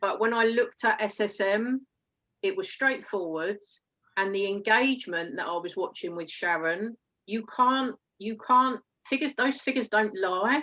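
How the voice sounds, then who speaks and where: A woman's fairly high, bright and sharp voice with an Essex accent, at a moderate pace with ordinary pitch variation. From England, Essex. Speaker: network marketer. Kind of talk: interview. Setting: live stream.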